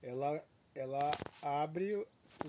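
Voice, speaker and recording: Over light background noise, a man talks in a fairly high pitch. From Nova Venécia, Espírito Santo, Brazil; Espírito Santo, Brazil. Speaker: desert rose grower. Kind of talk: casual on-site interview. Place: farm machine. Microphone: phone near.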